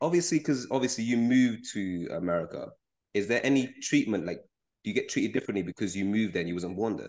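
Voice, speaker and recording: Very fast and lively in intonation, a man speaks at a medium pitch. The background is quiet. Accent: London. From London. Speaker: podcast host. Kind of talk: casual chat.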